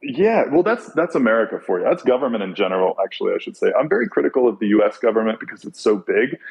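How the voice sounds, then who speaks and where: Very fast delivery in a Californian accent, with hardly any pauses. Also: man. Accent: California. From US small town. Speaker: podcast guest. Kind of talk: casual chat.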